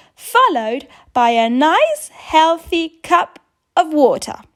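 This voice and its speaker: A woman puts on a character voice at an extremely high pitch. She speaks fairly slowly. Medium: read story. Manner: firm, bossy.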